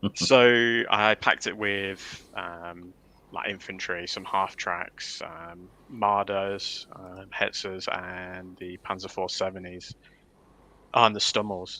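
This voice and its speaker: In a Leicester accent, a man speaks at a very slow pace with a fairly low pitch, a bright, sharp tone, monotone, flat intonation and big swings in loudness. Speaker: wargaming tournament organiser. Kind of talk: casual livestream chat.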